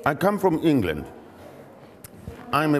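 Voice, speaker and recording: A man's voice over noticeable background noise. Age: 70s. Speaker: professor. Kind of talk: interview storytelling. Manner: halting, self-correcting.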